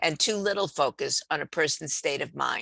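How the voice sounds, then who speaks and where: Speech comes at a moderate pace, with a dry, close sound, no echo, and a quiet background. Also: woman. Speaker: professor. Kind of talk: lecture.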